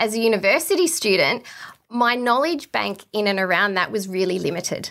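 The tone is bright and sharp. A woman delivers it at a fairly quick pace. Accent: Australian. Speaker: exercise physiologist. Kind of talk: interview.

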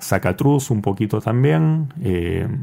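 A man's very slow delivery in a dark, mellow tone. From Peru. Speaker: board game distributor. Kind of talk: interview.

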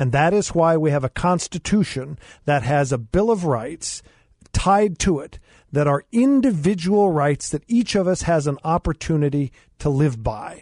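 A man talks at a moderate pace in an ordinary speaking voice with a fairly high pitch. His intonation is lively, and the sound is dry and close with no echo. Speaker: attorney and former mayor. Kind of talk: talk radio discussion. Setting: studio.

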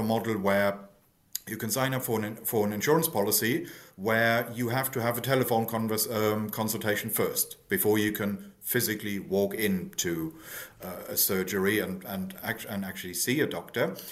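A man with a German accent and ordinary pitch variation. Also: medium pitch for a man, fairly quick pace. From Germany. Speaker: think tank economist. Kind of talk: interview.

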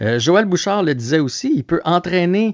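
Speaking at a fairly slow pace with lively intonation, a man has a normal speaking voice, recorded dry and close with no echo and a quiet background. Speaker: sports reporter. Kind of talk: casual radio chat.

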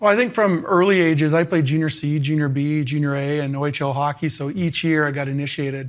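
A man rushes along at a very fast pace with hardly any pauses, his fairly high voice showing ordinary pitch variation. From Canada. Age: 40s. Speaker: former pro hockey player and teacher. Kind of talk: interview.

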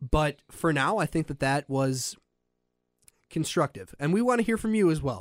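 Very wide pitch swings in an American accent, at a moderate pace, with a dry, close sound and no echo. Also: man, fairly high pitch for a man. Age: 20s. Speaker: radio producer co-hosting a sports podcast. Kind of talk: casual sports chat. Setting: studio.

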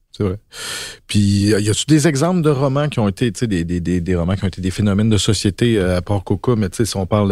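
On a very clean recording with a silent background, a man with a dark, mellow tone and fairly low pitch talks at a moderate pace. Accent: Quebec. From Quebec, Basses-Laurentides. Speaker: novelist. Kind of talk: casual chat.

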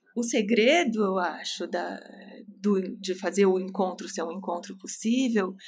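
A woman speaks at a very slow pace with long, frequent pauses, her medium-pitched voice somewhat breathy and her intonation fairly even. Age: 40s. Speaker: psychoanalyst. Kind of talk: casual chat.

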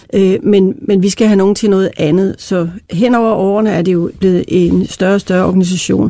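An ordinary speaking voice from a woman, fairly even in intonation, at a moderate pace with hardly any pauses. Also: medium pitch for a woman, very even loudness. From Denmark, Randers (East Jutland). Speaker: company chair, founder's daughter. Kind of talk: interview.

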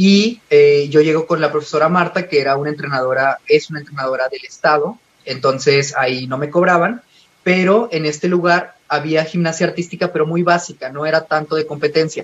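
In a normal speaking voice, a man talks at a fairly quick pace with a fairly high pitch and ordinary pitch variation. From Mexico, Coahuila (Parras de la Fuente). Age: 20s. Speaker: gymnast. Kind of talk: interview. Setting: phone call.

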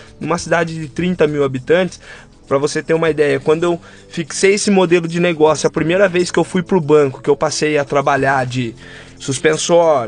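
A man with a fairly high voice speaks at a moderate pace over background music, his pitch varying in an ordinary way. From interior of São Paulo state, Brazil (Rio das Pedras). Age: 20s. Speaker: barber, small business owner. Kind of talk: casual interview conversation.

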